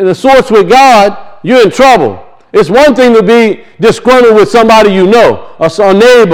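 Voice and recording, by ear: With ordinary pitch variation, a natural voice reads aloud.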